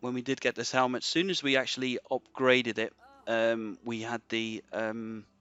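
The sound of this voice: In a dry, close recording with no echo, a man speaks at medium pitch with little pitch movement, his tone clear, smooth and fairly bright.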